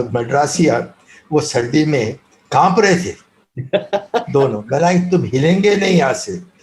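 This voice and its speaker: A man speaks in a somewhat breathy voice, leaving long, frequent pauses. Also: fairly high pitch for a man. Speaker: former cricket team manager. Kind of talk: interview answer, anecdote. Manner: soft-spoken.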